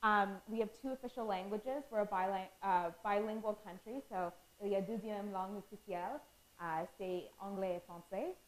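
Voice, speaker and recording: A woman's voice of medium pitch with ordinary pitch variation. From Canada. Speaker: student presenter. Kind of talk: lecture. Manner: fast.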